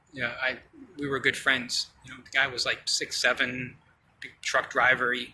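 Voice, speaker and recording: Over noticeable background noise, a man talks at a fairly quick pace, his medium-pitched voice monotone and flat. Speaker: vlogger, brain surgery patient. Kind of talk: casual vlog monologue. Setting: outdoors. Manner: halting, many fillers.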